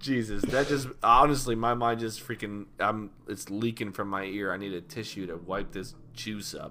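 Using a plain, everyday voice, a man talks at a moderate pace and fairly low pitch, with ordinary pitch variation and hardly any pauses. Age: 30s. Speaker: podcast co-host. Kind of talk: casual chat.

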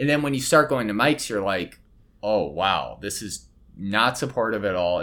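At a moderate pace, a man speaks in a normal speaking voice with a fairly low pitch. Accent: American. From Colorado. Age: 30s. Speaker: comedian. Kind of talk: casual chat.

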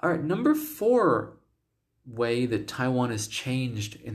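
Spoken with an American accent, the voice moves at a fairly slow pace and sounds somewhat breathy. Its intonation is lively. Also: man. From United States. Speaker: podcast host and English teacher. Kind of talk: solo podcast monologue. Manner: casual, with filler words.

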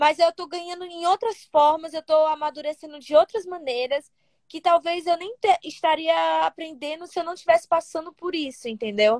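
A woman's extremely high-pitched voice with ordinary pitch variation and big swings in loudness, at a moderate pace, in a dry, close sound with no echo. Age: 20s. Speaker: olympic triathlete. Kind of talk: casual interview chat.

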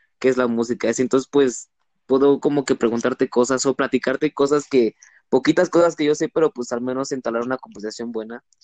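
A man speaks in a normal speaking voice at a medium pitch. The sound is dry and close, with no echo. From Mexico, Cancún, Quintana Roo. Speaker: law student. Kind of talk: casual chat.

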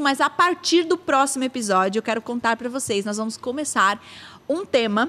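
Raised and projected, a woman's high voice has a bright, sharp tone and lively intonation at a moderate pace. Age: 30s. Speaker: podcast host. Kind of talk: casual chat.

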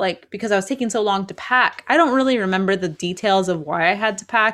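A woman with a plain, everyday voice, medium pitch and ordinary pitch variation, at a fairly quick pace, in a very clean recording with a silent background. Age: 30s. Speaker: podcast co-host. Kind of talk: casual chat.

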